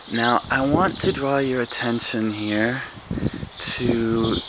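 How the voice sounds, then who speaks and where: Noticeable background noise sits behind a soft-spoken man. He talks at a very slow pace. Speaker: English teacher and vlogger. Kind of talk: casual video tour. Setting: outdoors on a street. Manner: soft-spoken, speaking quietly; exaggerated mouth movement, clear articulation.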